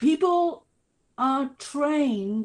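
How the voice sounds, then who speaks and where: A woman speaks with a British accent and lively intonation. Her voice is somewhat breathy against a quiet background. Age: 60s. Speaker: researcher on ageing. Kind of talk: webinar Q&A answers. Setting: online webinar.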